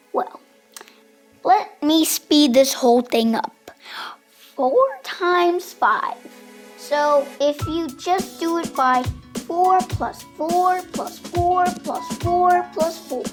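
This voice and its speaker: A cartoonish character voice speaks at a very slow pace with a high pitch. Faint music plays in the background. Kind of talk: children's puppet show. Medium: puppet.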